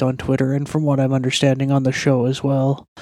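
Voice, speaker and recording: A quiet man's voice, fairly high in pitch. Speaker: MMA opinion commentator. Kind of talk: podcast segment commentary.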